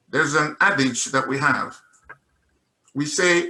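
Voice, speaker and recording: This man speaks with a Nigerian accent at a fairly high pitch. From Nigeria, Igbo (Mbise). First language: Igbo. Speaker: investor giving testimony. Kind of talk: testimony. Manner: animated.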